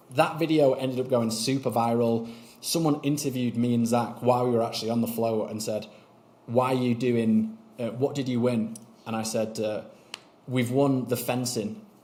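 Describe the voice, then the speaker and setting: Fairly even intonation marks this man's fairly quick delivery. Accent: Mancunian. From Manchester, northern England. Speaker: YouTube strategy consultant. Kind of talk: interview conversation. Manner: casual.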